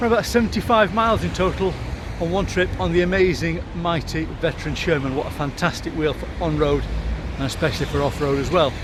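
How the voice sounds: Clear background noise sits behind a man at a fairly high pitch. He talks at a fairly quick pace with fairly even intonation.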